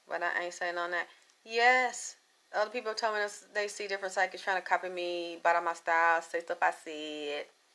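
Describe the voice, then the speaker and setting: A woman speaks loudly and at a fairly quick pace, with a fairly low pitch and a bright, sharp tone. The recording is very clean, with a silent background. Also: ordinary pitch variation. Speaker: psychic livestream host. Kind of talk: live stream chat with viewers. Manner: animated.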